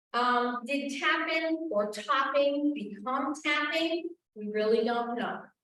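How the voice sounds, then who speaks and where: Amid audible room echo, a woman speaks at a very slow pace in a high voice. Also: ordinary pitch variation. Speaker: town historian and archivist giving a talk. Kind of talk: history lecture to an audience.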